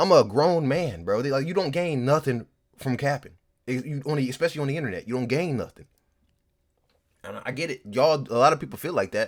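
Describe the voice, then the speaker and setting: A man talks at a very fast pace in an animated tone. His medium-pitched voice carries vocal fry. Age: 20s. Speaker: streamer and rapper. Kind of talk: casual stream commentary.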